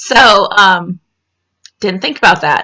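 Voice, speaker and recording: A woman's medium-pitched voice in a Southern US accent, monotone and flat in intonation. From US South. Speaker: vlogger. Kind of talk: casual chat. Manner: halting.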